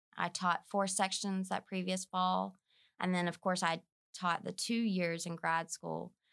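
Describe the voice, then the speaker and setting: A woman with a North Alabama accent at a fairly slow pace, in a dry, close sound with no echo and a very clean recording over a silent background. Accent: Southern US, North Alabama twang. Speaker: business communications instructor. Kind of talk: casual interview.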